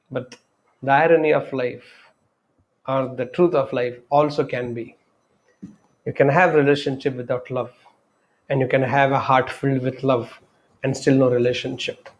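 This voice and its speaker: A man with an Indian accent speaks at a moderate pace in a monotone, flat intonation, leaving long, frequent pauses. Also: medium pitch for a man. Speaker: spiritual speaker. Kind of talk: talk on love and life. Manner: unscripted, reflective.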